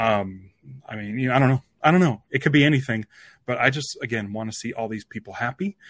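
A man talks at a very fast pace, medium in pitch with ordinary variation. The sound is dry and close, with no echo. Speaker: podcast host. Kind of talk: casual chat.

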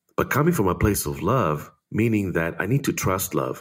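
A man's fairly low voice with vocal fry and lively intonation, at a moderate pace, in a very clean recording with a silent background. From Israel. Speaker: creative coach. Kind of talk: interview.

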